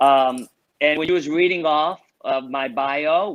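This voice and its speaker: A man speaks at a very slow pace with ordinary pitch variation, the sound dry and close with no echo. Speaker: fitness instructor. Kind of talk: interview. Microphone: connection breaking up.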